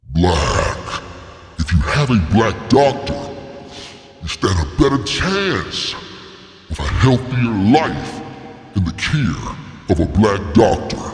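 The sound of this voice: A man does a put-on character voice at a very slow pace, with long, frequent pauses. Clear background noise and a slight echo are present. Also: medium pitch for a man.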